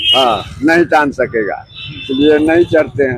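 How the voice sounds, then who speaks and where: Over noticeable background noise, a man speaks with lively intonation in a dry, close sound with no echo. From Samastipur, Bihar, India. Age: 70s. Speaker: rickshaw puller. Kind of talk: interview answer. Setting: outdoors.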